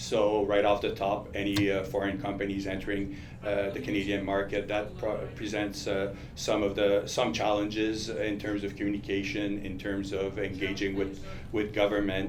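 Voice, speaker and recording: In a Quebec accent, a fairly low-pitched man is heard with audible room echo and noticeable background noise. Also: fairly even intonation, moderate pace. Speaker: lobbyist. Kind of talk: panel discussion. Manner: halting, many fillers.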